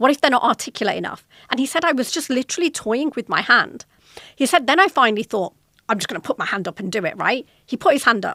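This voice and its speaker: A woman with a British accent speaks very fast in a high, bright, sharp voice, her pitch swinging very widely. The sound is dry and close, with no echo. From Britain. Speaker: podcast host, corporate executive. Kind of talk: solo podcast talk.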